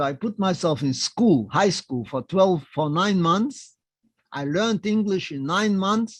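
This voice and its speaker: A high-pitched man with a non-native accent, lively intonation and a fairly slow pace, over a quiet background. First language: not English. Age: 90s. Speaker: Holocaust survivor. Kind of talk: testimony. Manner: short simple sentences.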